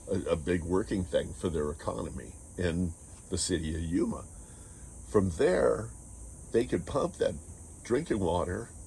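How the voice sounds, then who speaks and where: A man speaks with a very deep, low pitch, a dark, mellow tone and vocal fry. His intonation is lively, broken by long, frequent pauses. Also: moderate pace. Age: 60s. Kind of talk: casual talk to camera.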